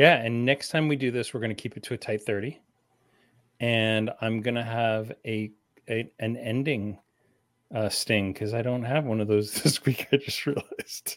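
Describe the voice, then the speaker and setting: Recorded very cleanly against a silent background, a man speaks in a plain, everyday voice at a medium pitch with fairly even intonation. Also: moderate pace. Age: 50s. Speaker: podcast host, comic shop owner. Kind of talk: casual chat.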